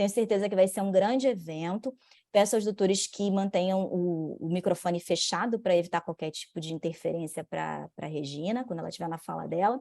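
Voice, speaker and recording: A woman's dark, mellow voice at a medium pitch and a fairly quick pace, with big swings in loudness and hardly any pauses, on a very clean recording with a silent background. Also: ordinary pitch variation. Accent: Rio de Janeiro. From Brazil, Rio de Janeiro. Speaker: lawyer and bar association commission head. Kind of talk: event opening and speaker introduction.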